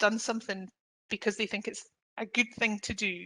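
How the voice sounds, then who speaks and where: Against a quiet background, a woman with a bright, sharp tone and fairly high pitch speaks with fairly even intonation. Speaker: employment lawyer. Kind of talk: webinar presentation. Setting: online webinar. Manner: fast.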